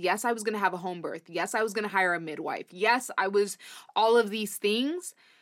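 The recording is very clean, with a silent background. A woman speaks in an ordinary speaking voice. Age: 20s. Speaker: podcast co-host. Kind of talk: casual chat.

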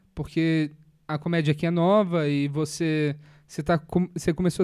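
A man speaks with a fairly high pitch and a dark, mellow tone in monotone, flat intonation. The recording is very clean with a silent background. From Brazil, Minas Gerais. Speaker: podcast host and stand-up comedian. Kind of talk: casual interview chat.

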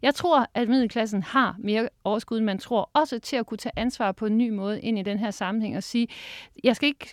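On a very clean recording with a silent background and a dry, close sound with no echo, a woman has an unremarkable speaking voice, with a fairly high pitch, fairly quick pace and ordinary pitch variation. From Denmark, Harlev near Aarhus. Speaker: professor of educational psychology. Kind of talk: interview. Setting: studio.

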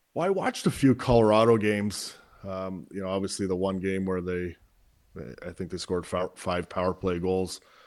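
A man with a very deep, low voice talks at a moderate pace in a fairly even intonation, captured on a very clean recording with a silent background. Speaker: former hockey player. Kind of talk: sports interview. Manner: relaxed, hesitant.

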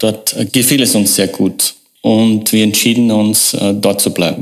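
A man with a fairly low pitch talks very slowly. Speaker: marketing agency owner. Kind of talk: interview. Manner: halting.

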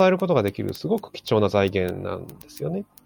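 A man's moderately paced speech has a dry, close sound with no echo. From Japan, Aomori (Hirosaki). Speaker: fundraiser. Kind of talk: casual chat.

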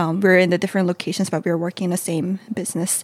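A woman with a Korean accent speaks at a medium pitch with monotone, flat intonation, in a dry, close sound with no echo. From South Korea.

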